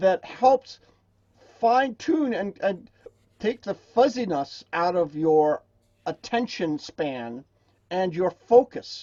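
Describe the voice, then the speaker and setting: A man with a high pitch, very wide pitch swings and a very slow pace. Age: 70s. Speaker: drum circle facilitator and teacher. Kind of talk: interview conversation.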